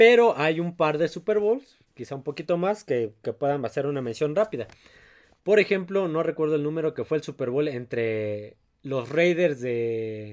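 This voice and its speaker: In a very clean recording with a silent background, a man with a fairly high pitch speaks at a fairly slow pace, his voice making very wide pitch swings. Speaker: sports podcast host. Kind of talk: casual chat.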